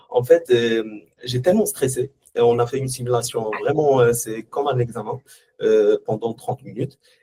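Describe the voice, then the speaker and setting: Dry and close with no echo, a man's medium-pitched voice has a dark, mellow tone and sounds somewhat breathy. He keeps a moderate pace with fairly even intonation. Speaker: former student. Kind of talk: testimony. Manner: halting.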